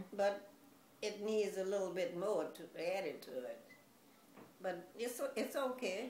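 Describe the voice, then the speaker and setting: A woman's medium-pitched voice, fairly slow with long, frequent pauses, lively intonation and audible room echo. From US South, Louisiana. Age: 90s. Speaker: grandmother being interviewed. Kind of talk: interview.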